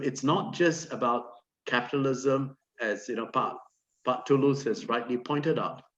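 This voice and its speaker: A plain, everyday voice from a man at medium pitch, with ordinary pitch variation and a moderate pace. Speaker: academic panelist. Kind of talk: panel discussion.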